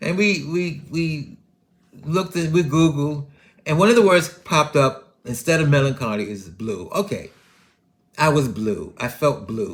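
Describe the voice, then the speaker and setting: A somewhat breathy man's voice at a fairly high pitch. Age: 70s. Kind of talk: casual podcast monologue.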